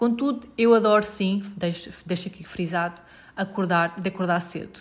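A woman speaks in a European Portuguese accent at a moderate pace, her voice somewhat breathy. Her pitch is medium, with ordinary pitch variation. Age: 30s. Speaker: podcast host. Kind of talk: casual advice talk.

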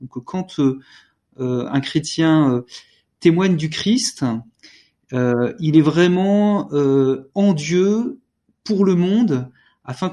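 A man's fairly high-pitched, dark, mellow tone with ordinary pitch variation. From France. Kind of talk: panel discussion. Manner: halting, repeats words.

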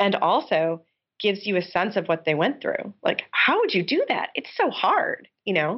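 With a New York State accent, a woman talks at a medium pitch and a moderate pace. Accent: American (New York State). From upstate New York. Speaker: game designer and professor. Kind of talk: interview.

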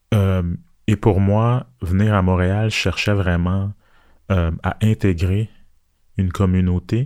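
At a very slow pace with long, frequent pauses, a man talks at very even loudness. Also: fairly low pitch for a man, fairly even intonation, very clean recording, silent background. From Montreal, Quebec. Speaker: visual artist. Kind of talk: interview conversation.

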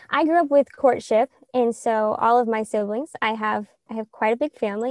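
A woman with an American accent has an ordinary speaking voice, pitched fairly high. Her pitch varies normally, and the recording is dry and close with no echo. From US South, Middle Tennessee. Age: 20s. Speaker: Messianic believer, betrothed woman. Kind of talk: testimony.

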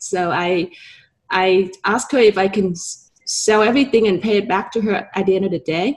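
Her voice is somewhat breathy, a woman speaking at medium pitch. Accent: Vietnamese. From Vietnam. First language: Vietnamese. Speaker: real estate broker and entrepreneur. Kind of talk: interview.

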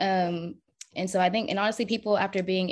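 A woman with an American accent and an unremarkable speaking voice, fairly low in pitch, fairly quick in pace, with fairly even intonation over a quiet background. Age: 30s. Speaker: single mother, social media creator. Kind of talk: podcast interview.

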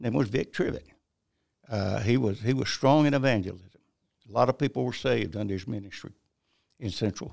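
A man with a Southern US accent and medium pitch talks at a fairly quick pace with vocal fry, ordinary pitch variation and long, frequent pauses, on a very clean recording with a silent background. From South Carolina (Bennettsville, Marlborough County). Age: 80s+. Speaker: retired pastor. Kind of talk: interview testimony.

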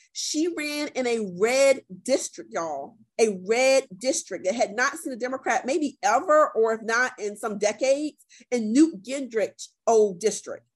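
A woman with an American accent speaks in a high pitch at a fairly slow pace. Her intonation is lively. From South Carolina (Columbia). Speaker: political training organization director. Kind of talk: interview conversation. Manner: animated.

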